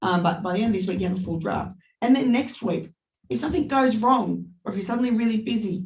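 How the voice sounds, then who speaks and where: Over audible room echo, a woman talks very fast at a medium pitch, with vocal fry and lively intonation. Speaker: university tutor. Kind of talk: online lecture Q&A. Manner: loud.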